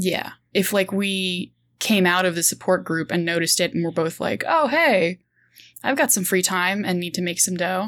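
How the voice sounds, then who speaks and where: In a very clean recording with a silent background, a woman with a plain, everyday voice speaks at a medium pitch and moderate pace, with ordinary pitch variation. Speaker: freelance writer and game player. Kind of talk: actual play roleplaying session.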